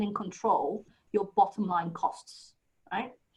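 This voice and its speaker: A woman with a British accent speaks very slowly in a somewhat breathy voice. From UK. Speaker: HR consultant, presenter. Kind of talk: webinar talk.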